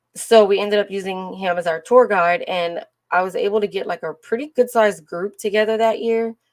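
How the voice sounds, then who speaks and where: Her pace is fairly quick, and the woman's pitch varies in an ordinary way. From Louisiana. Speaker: live streamer sharing travel. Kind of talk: casual livestream chat.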